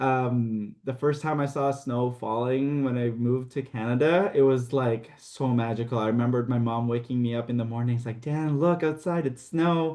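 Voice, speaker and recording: At a moderate pace and with hardly any pauses, a man speaks in a dark, mellow tone at a medium pitch, with ordinary pitch variation. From Philippines. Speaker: TV baking show contestant. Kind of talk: casual chat.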